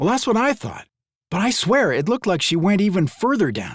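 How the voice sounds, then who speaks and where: A man puts on a character voice, high for a man, and talks at a fairly quick pace. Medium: read story. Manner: low, furtive.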